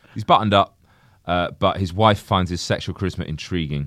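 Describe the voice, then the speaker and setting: A man with an English accent is heard in a very clean recording against a silent background. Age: 30s. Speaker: podcast co-host. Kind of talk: casual chat.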